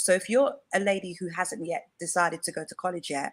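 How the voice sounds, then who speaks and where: A woman at medium pitch, in an English accent. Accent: English accent, clearly noticeable. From England. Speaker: femininity coach. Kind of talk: live-stream interview chat. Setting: online live stream.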